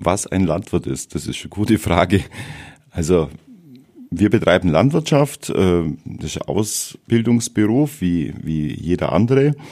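The voice has a dark, mellow tone and very wide pitch swings. It moves at a fairly slow pace with long, frequent pauses. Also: man, very deep, low pitch for a man. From Bavaria, Ries area (Swabian-Bavarian). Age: 50s. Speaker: farmer. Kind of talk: interview. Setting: studio.

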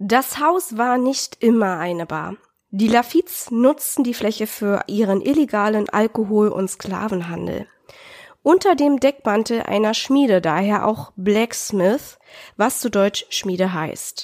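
A woman speaks at a very slow pace with lively intonation. Her pitch is fairly high. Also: dry, close sound with no echo. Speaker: podcast co-host. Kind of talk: scripted narration; casual chat.

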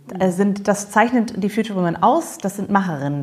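A woman's voice comes across as somewhat breathy. She speaks at a fairly quick pace. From Germany. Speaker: podcast host. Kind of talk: casual interview chat.

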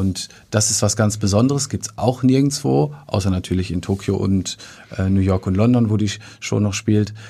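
A man talks at a moderate pace with a fairly low pitch. His dark, mellow tone comes across somewhat breathy. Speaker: theatre manager. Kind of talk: casual interview. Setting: studio. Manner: hesitant with filler sounds.

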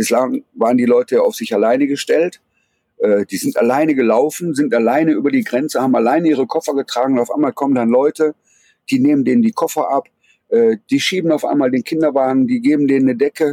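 The speaker goes at a very fast pace in a dark, mellow tone, with ordinary pitch variation. Loudness stays very even, and the sound is dry and close with no echo. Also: man, fairly high pitch for a man. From Ruhr area, Germany. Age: 40s. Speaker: photojournalist. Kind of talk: interview. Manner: halting, many fillers.

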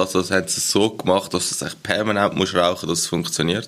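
A man with a fairly low pitch and a bright, sharp tone speaks fairly quickly in a monotone, flat intonation. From Switzerland. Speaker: podcast co-host. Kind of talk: casual chat.

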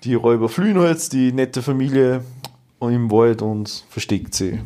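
An unremarkable speaking voice at a fairly slow pace with ordinary pitch variation. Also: man. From Austria, rural village. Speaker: podcast co-host. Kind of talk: retelling fairy tales; casual chat. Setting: home dining room.

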